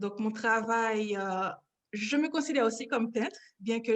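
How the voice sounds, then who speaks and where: A woman's unremarkable speaking voice, fairly high in pitch, at a moderate pace. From Haiti, Port-au-Prince. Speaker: painter. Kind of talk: interview.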